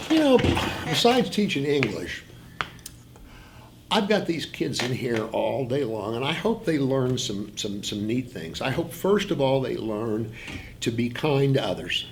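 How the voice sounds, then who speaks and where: A man at a fairly slow pace, with very wide pitch swings, long and frequent pauses, audible room echo and noticeable background noise. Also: medium pitch for a man. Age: 60s. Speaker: high school English teacher. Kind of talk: interview. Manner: halting.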